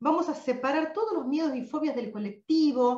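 Heard at a moderate pace, the speech carries audible room echo over a quiet background. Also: woman. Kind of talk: live online session talk. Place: home room. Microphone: webcam.

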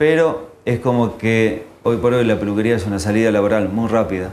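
The voice shows ordinary pitch variation over light background noise. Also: man. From Argentina, Santa Fe. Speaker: hairdresser; guest. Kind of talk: interview. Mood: calm, critical opinions. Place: studio. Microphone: lapel.

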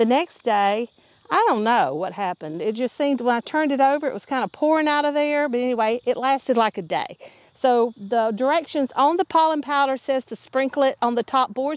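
Her sound dry with no echo, a woman speaks at a fairly quick pace with a high pitch and lively intonation. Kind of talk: casual vlog chat. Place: garden.

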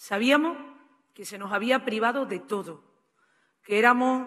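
A woman speaks with an Andalusian accent and ordinary pitch variation. Her pace is fairly slow, and the background is quiet. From Andalusia, Spain. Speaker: politician. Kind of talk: political speech. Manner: fervent. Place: hall. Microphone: podium.

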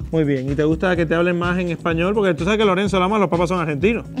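Over clear music in the background, a man speaks at a high pitch and very fast pace with fairly even intonation. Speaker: TV show host. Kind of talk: live TV show hosting. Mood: joking, flirtatious showman. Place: studio. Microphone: lapel.

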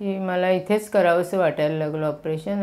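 A woman speaks in a dark, mellow tone with monotone, flat intonation. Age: 60s. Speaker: patient. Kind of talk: testimony. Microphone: lapel.

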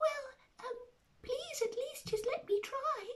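In a put-on character voice, a female-sounding speaker goes squeaky and extremely high-pitched at a very slow pace. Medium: read story. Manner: polite, courteous.

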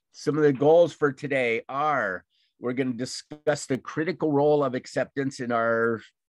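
A man's voice at a fairly slow pace, fairly even in intonation, dry with no echo, over a quiet background. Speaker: class instructor. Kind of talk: lecture. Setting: video call. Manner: halting. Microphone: video call.

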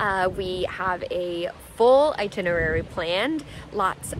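A woman speaks at a very slow pace with ordinary pitch variation, in a dry sound with no echo and noticeable background noise. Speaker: travel vlogger. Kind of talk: casual vlog chat. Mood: cheerful, excited. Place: open country. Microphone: phone near.

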